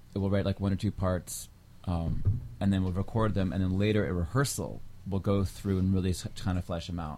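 A man with an American accent speaks at a very deep, low pitch. His tone is dark and mellow, and his pace is moderate. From Washington D.C. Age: 40s. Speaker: bass player. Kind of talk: casual chat.

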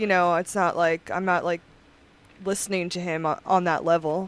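Bright, sharp-toned woman with fairly low pitch at a moderate pace. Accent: Long Island. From Long Island, New York. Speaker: musician and DJ. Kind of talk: casual chat.

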